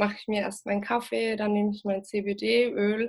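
Her pitch sits in the middle range. A woman speaks with monotone, flat intonation. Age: 20s. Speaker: cannabis patient and activist. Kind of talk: interview.

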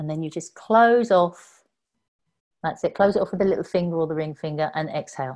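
The recording is very clean, with a silent background. It is a plain, everyday voice with ordinary pitch variation, moving at a fairly quick pace. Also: woman, fairly low pitch for a woman. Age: 50s. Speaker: Kundalini yoga teacher and energy healer. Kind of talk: casual chat.

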